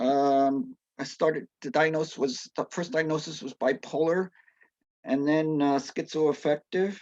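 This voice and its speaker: A fairly high-pitched man speaks at a fairly slow pace with ordinary pitch variation. The sound is dry and close, with no echo. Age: 60s. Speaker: person sharing lived experience of mental illness. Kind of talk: testimony. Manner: halting, many fillers and restarts.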